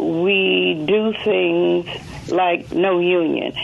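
A woman with a Southern US accent, over noticeable background noise. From Mississippi. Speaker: caller. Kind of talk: radio call-in.

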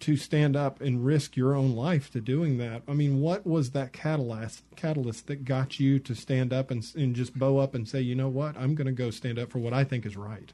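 A dark, mellow tone in an American accent, with ordinary pitch variation. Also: man. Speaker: radio host. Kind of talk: radio interview. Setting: studio.

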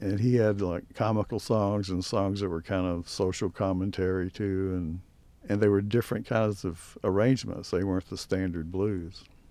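This voice has a dark, mellow tone and fairly even intonation, with an American accent. It moves at a moderate pace over a quiet background. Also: man. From US South, Mississippi Gulf Coast. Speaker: blues historian and magazine founder. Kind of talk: radio interview.

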